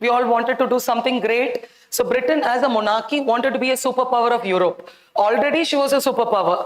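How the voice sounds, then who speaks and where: The delivery is animated and fairly quick, with ordinary pitch variation. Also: woman. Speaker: teacher. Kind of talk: lecture. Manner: loud.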